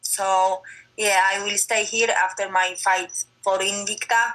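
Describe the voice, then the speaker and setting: Her pitch medium, a woman talks at a very slow pace. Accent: Polish. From Poland. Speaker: MMA fighter. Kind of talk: interview. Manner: halting non-native English.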